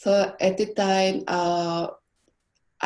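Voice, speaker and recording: Against a quiet background, a woman speaks with a Korean accent. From South Korea. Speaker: graphic design professor. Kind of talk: conference presentation.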